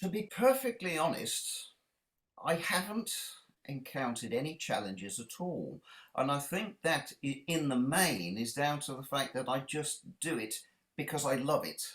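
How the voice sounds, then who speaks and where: With a British accent, a man talks at a moderate pace in a fairly high voice that swings very widely in pitch. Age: 60s. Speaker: children's author and illustrator. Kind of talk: interview. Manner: halting.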